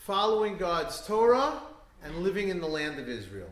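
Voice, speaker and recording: Noticeable background noise and audible room echo surround a man with an American accent and a high pitch. He speaks at a moderate pace with lively intonation. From New York. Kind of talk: talk to an audience. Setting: synagogue event with live audience. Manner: hesitant, many fillers.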